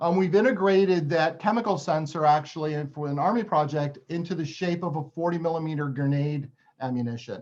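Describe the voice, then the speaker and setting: A man talks at a fairly quick pace. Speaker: university researcher in printed electronics. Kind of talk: technical webinar presentation. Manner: fast.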